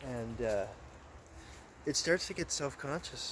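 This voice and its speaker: A man mumbles his words. His pitch variation is ordinary. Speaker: vlogger. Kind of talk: casual monologue. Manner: mumbling; halting.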